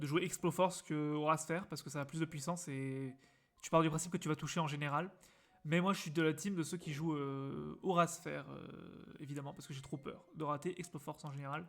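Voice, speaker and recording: This man talks at a fairly quick pace with fairly even intonation. His loudness swings widely. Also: fairly high pitch for a man. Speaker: gaming streamer. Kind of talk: live stream commentary. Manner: casual, hesitant with many fillers.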